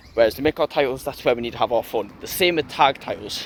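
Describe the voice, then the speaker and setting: Fairly quick speech from a man at medium pitch, ordinary pitch variation, and noticeable background noise behind. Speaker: wrestling commentary youtuber. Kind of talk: casual solo review. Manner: fast.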